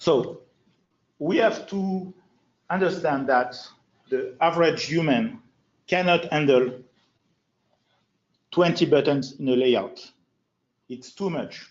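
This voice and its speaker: Speaking very slowly with long, frequent pauses, a man uses a high voice, a French accent and lively intonation. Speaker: FileMaker designer and trainer. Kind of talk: user group presentation.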